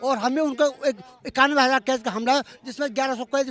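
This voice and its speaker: A man speaks at a moderate pace in an extremely high pitch. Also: dry, close sound with no echo. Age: 70s. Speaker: army veteran and protest leader. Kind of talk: street interview at a protest. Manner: halting, many restarts.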